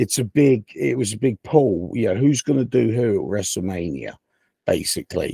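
The voice shows vocal fry and lively intonation, with a dry, close sound that has no echo. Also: man. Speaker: wrestling podcast co-host. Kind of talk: casual banter podcast. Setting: remote connected microphone system.

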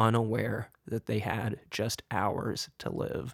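There is vocal fry in the man's voice. His pitch sits in the medium range. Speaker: true crime podcaster. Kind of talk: true-crime narration. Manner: grave, measured storytelling; deliberate, somber, suspenseful.

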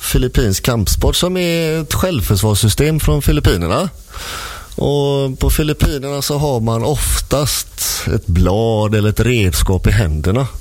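Noticeable background noise behind a man's medium-pitched voice, fairly slow in pace, with very wide pitch swings. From Gothenburg, western Sweden. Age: 50s. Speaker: martial arts instructor. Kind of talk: casual chat. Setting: radio studio.

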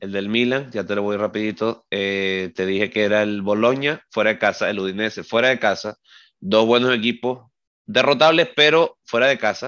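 At a moderate pace, a man with a fairly low pitch and ordinary pitch variation speaks in a plain, everyday voice. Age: 30s. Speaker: football podcast co-host. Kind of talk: casual chat.

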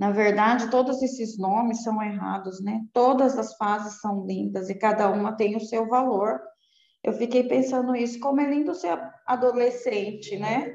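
A woman with a normal speaking voice, fairly high in pitch, at a fairly slow pace with ordinary pitch variation. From Brazil, Guarulhos (São Paulo). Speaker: breast cancer survivor and writer. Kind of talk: casual chat.

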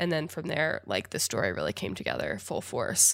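A woman talks at a moderate pace with an American accent. The recording is very clean, with a silent background. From Indiana, US Midwest. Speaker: YouTuber and company founder. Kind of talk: casual interview.

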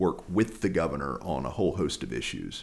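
Vocal fry runs through this fairly quick delivery with an American accent. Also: man. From North Carolina, Lexington. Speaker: political candidate. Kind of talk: interview.

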